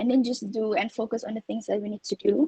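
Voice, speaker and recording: A dark, mellow tone comes through. The sound stays dry and close, without any echo. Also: woman. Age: 20s. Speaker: overseas student. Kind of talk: online panel sharing session. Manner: code-switching Malay and English; hesitant with fillers.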